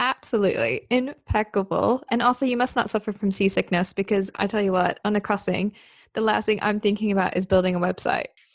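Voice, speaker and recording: In an unremarkable speaking voice, a woman at medium pitch talks fairly quickly with hardly any pauses, very even loudness and ordinary pitch variation, in a very clean, silent-background recording with a dry, close sound and no echo. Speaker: podcast host. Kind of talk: podcast interview.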